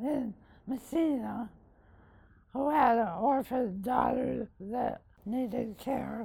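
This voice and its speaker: A woman with a high voice and a dark, mellow tone speaks very slowly, with ordinary pitch variation. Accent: American. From Northern New York (Massena). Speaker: local philanthropist. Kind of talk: interview conversation.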